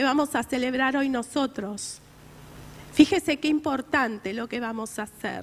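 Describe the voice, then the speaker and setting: A woman speaks with a Rioplatense accent at a high pitch, with ordinary pitch variation. Noticeable background noise runs under her voice. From Argentina. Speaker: preacher. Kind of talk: sermon. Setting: church. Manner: earnest, exhortative preaching.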